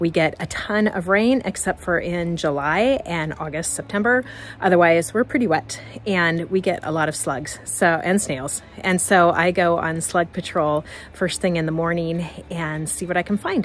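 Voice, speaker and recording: A woman speaks at a moderate pace in a fairly low pitch. Her pitch variation is ordinary, and there is noticeable background noise. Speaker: gardening vlogger. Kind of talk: casual walkthrough vlog. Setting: outdoors in garden.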